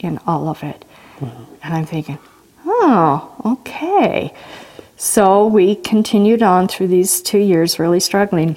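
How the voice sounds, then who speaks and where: Over noticeable background noise, a woman with an American accent talks at a very slow pace with lively intonation. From Washington state, US. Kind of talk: testimony.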